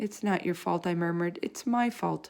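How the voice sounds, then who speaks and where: A woman puts on a character voice, fairly low in pitch, at a moderate pace. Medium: read story.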